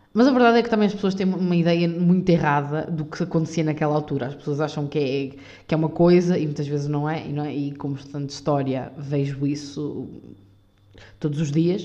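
A woman's very deep, low, dark and mellow voice in a European Portuguese accent, fairly quick, with ordinary pitch variation and audible room echo. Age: 20s. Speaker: podcaster. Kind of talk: unscripted solo monologue. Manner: halting, many fillers.

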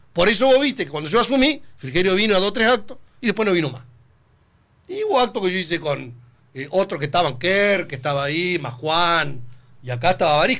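The tone is bright and sharp, the pace fairly quick, and the pitch swings very widely. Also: man, high pitch for a man. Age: 50s. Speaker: politician. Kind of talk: radio interview. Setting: studio.

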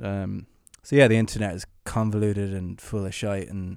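Flat and monotone, a man with an Irish accent speaks at a fairly low pitch on a very clean recording with a silent background. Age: 20s. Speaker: musician. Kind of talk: casual chat.

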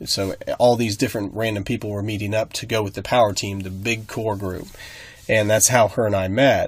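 Somewhat breathy and fairly low in pitch, a man speaks at a fairly quick pace in a monotone with flat intonation. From rural Nebraska. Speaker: podcast co-host. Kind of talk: casual chat.

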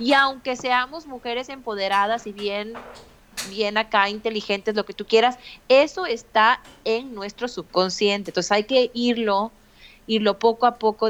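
An unremarkable speaking voice from a woman, fairly high-pitched, with ordinary pitch variation at a fairly slow pace over a quiet background. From Mexico. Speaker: podcaster and mother. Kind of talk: interview conversation.

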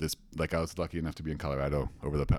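Talking at a very fast pace, a man uses a very deep, low pitch with vocal fry and ordinary pitch variation. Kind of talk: casual conversation, storytelling. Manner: conversational, hesitant.

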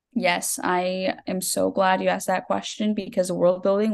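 With a Texan accent, a woman speaks at a fairly slow pace in a medium pitch and fairly even intonation. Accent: Texan American. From Texas. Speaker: debut novelist. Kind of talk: podcast interview.

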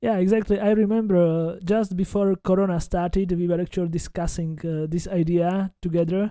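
A man with a Slovak accent speaks fairly quickly in a high pitch, his dark, mellow tone held in a monotone, flat intonation. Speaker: podcast host, genealogy researcher. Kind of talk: interview.

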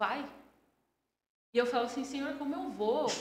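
With audible room echo, a woman speaks in a somewhat breathy voice with fairly even intonation. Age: 30s. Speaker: entrepreneur. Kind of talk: interview. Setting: studio.

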